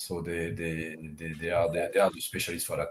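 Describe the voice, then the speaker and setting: A man's voice with a French accent. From France. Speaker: tech company CEO. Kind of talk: interview. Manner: halting, many fillers.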